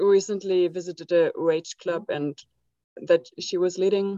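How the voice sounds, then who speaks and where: A woman's medium-pitched voice with monotone, flat intonation. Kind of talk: casual sharing. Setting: video call.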